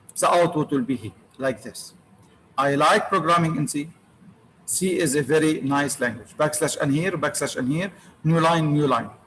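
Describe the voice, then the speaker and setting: Long, frequent pauses break up a man's moderate-paced speech in an Arabic accent, his pitch varying in an ordinary way. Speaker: university lecturer. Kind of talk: lecture. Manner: repetitive.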